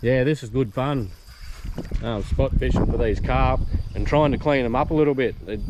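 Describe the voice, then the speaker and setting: A man with an Australian accent, medium pitch, long, frequent pauses, and noticeable background noise. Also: ordinary pitch variation, moderate pace. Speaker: fishing vlogger. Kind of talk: casual outdoor vlog commentary. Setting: outdoors by a creek. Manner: hushed, trying to be quiet.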